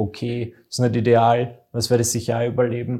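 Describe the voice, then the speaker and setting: In a very clean recording with a silent background, a man speaks at a medium pitch with a dark, mellow tone. His voice is somewhat breathy, at a moderate pace, with monotone, flat intonation. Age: 20s. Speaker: entertainer, podcast co-host. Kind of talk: casual chat.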